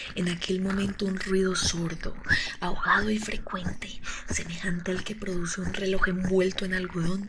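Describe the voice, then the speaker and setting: Noticeable background noise sits behind a woman speaking at a moderate pace. Her pitch is medium. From Colombia. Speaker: ASMR creator. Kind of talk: horror story reading. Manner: soft-spoken.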